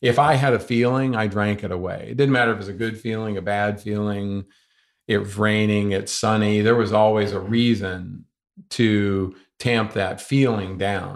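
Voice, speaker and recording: Against a quiet background, a man with an American accent speaks at a moderate pace in an unremarkable speaking voice. His pitch is fairly low and his intonation fairly even. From US South, North Carolina. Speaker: ultramarathon runner. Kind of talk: interview. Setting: in person.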